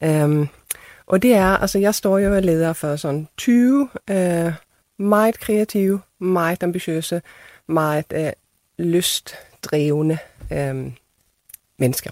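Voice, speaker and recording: A woman speaks very slowly at a fairly low pitch, with ordinary pitch variation and long, frequent pauses. The recording is very clean and dry, close with no echo and a silent background. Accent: Swedish. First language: Swedish (speaking Danish). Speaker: theatre director. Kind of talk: panel discussion.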